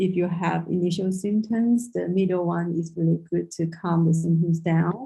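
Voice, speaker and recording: Her voice has a dark, mellow tone and is somewhat breathy, at a medium pitch for a woman. She speaks at a moderate pace with fairly even intonation. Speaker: traditional Chinese medicine practitioner. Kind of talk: lecture. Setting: video call.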